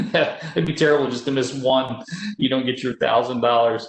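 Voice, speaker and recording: With ordinary variation in his pitch, the man talks fairly quickly. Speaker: security awareness presenter. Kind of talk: webinar presentation. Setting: webinar. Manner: fast.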